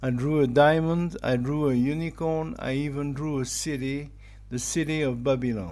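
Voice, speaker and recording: The speaker has a French accent and talks at a fairly slow pace. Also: man. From France. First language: German. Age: 50s. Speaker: digital artist. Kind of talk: personal monologue.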